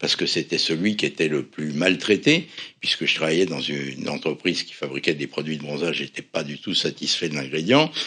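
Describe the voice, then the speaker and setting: Ordinary rise and fall in pitch, at a fairly quick speed. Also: man. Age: 70s. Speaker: cosmetics company founder, pharmacist. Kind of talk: interview. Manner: animated.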